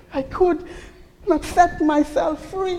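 A woman's extremely high-pitched voice with ordinary pitch variation, over noticeable background noise. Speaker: pastor. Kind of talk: first-person dramatic sermon monologue in character as a remorseful bride. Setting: church. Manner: anguished, pleading self-reproach with repeated rhetorical questions; theatrical, animated storytelling with laughter and voiced characters.

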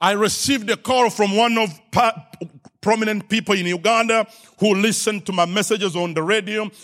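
With an African accent, a man speaks at a high pitch and a moderate pace in an animated tone, on a very clean recording with a silent background. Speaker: preacher. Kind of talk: sermon. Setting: church with congregation and live stream.

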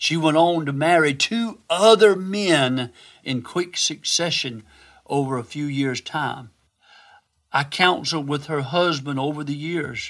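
A man's normal speaking voice, fairly slow and fairly high-pitched with ordinary pitch variation, on a very clean recording with a silent background. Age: 60s. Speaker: physician and devotional speaker. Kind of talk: devotional Bible teaching.

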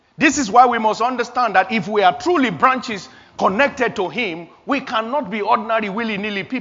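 Against audible room echo, a man with a high pitch talks at a moderate pace with lively intonation. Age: 50s. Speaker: pastor. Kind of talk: sermon.

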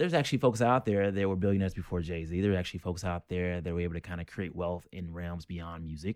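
Speech comes at a very fast pace with an American accent and fairly even intonation. The recording is very clean, with a silent background. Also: man. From North Carolina. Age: 30s. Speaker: chef. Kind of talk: casual chat.

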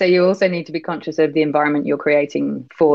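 A woman talks very fast in a very deep, low voice. Her intonation stays fairly even. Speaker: banking executive and CEO. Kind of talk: casual interview chat.

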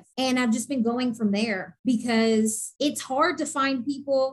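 A woman speaks in an unremarkable speaking voice, fairly high-pitched, with ordinary pitch variation. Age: 20s. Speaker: model and cancer patient. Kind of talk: interview testimony.

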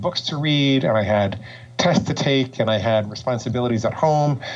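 A man with an American accent, moderate pace, ordinary pitch variation and noticeable background noise. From New York. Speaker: psychologist and binge eating coach. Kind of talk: podcast interview.

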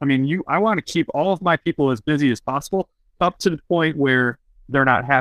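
An ordinary speaking voice with ordinary pitch variation. The loudness stays very even. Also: man, fairly high pitch for a man, fairly quick pace. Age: 30s. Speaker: real estate podcast host. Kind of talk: interview. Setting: call.

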